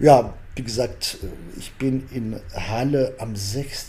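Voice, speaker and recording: A man talks at a very slow pace in a dark, mellow tone that is somewhat breathy. Audible room echo surrounds his voice. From Algeria. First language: Arabic or French (Algerian) (speaking German). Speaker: political science professor. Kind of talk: interview. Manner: halting, many fillers.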